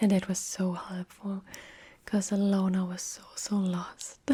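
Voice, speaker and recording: Soft-spoken and somewhat breathy, a woman whispers at a very slow pace. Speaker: ASMR creator. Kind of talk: casual talk to camera. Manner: soft-spoken, whispering.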